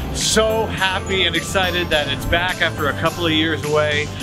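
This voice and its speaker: A man speaks at a moderate pace over loud music in the background. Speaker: radio host. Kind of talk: live radio broadcast from an event. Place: street.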